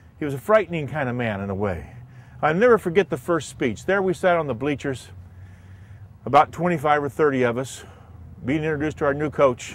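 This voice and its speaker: This man has an American accent and a fairly high pitch, with lively intonation. He talks at a fairly quick pace but leaves long, frequent pauses. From US Midwest, Indiana. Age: 60s. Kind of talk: personal testimony.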